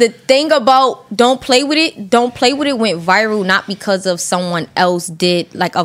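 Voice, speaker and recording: The speaker has a Brooklyn accent and lively intonation. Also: woman. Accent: New York (Brooklyn). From Brooklyn, New York. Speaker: rapper. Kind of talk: casual chat.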